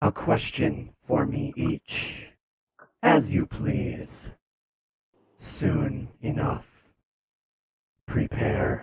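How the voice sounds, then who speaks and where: Man in a put-on character voice at a very slow pace. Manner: ominous, commanding.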